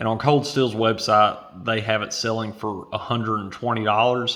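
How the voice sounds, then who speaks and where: Quiet and bright with a sharp tone, a man talks at a moderate pace. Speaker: knife reviewer. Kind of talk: product review. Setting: at home at night. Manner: quiet, hushed.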